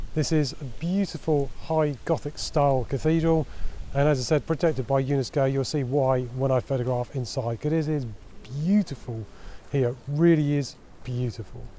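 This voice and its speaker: Here a man talks at a moderate pace with a fairly high pitch. His tone is dark and mellow, with ordinary pitch variation. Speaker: travel photographer. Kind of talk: vlog tutorial. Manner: quiet, speaking softly.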